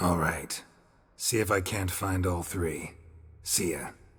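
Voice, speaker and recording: A man puts on a character voice, raspy and very deep and low in pitch. He speaks at a fairly slow pace. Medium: video game. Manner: terse, flat, dry.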